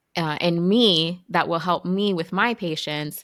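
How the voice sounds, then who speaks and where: A woman speaks in a plain, everyday voice, fairly low in pitch with ordinary variation. The sound is dry and close with no echo, on a very clean recording with a silent background. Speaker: physician, podcast host. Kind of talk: podcast interview questions.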